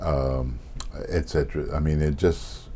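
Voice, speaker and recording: A man speaks at a very slow pace. Noticeable background noise and audible room echo are present. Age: 70s. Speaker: jazz bassist and composer. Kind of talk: interview. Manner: halting.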